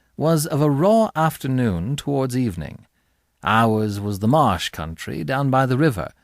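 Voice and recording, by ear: Lively intonation over a quiet background, reading aloud in a natural voice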